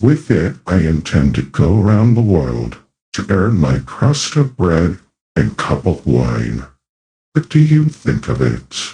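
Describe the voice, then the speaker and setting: Putting on a character voice, a man talks at a fairly slow pace in a very deep, low pitch with very wide pitch swings. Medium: audio drama. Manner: touchy, quick to anger.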